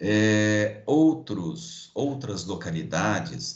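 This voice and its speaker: A man with a Brazilian accent speaks at a fairly low pitch, with audible room echo around his voice. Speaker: logistics professor. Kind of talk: online lecture.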